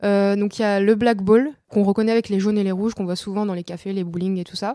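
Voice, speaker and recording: A dark, mellow tone at a very fast pace, with fairly even intonation. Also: woman, medium pitch for a woman. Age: 20s. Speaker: billiards champion. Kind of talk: interview.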